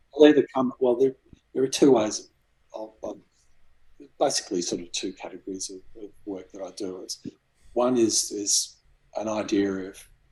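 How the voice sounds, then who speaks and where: In an Australian accent, a man speaks at a moderate pace and medium pitch with a dark, mellow tone, ordinary pitch variation, big swings in loudness and long, frequent pauses. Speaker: graphic designer and cardboard model maker. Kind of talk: interview answer. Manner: soft-spoken.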